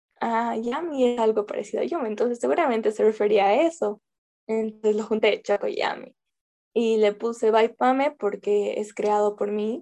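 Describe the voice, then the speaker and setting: A woman talks at a moderate pace. Her voice is fairly high, with a dark, mellow tone. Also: ordinary pitch variation. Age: 20s. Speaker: small business owner, chocolate maker. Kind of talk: radio interview. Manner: halting.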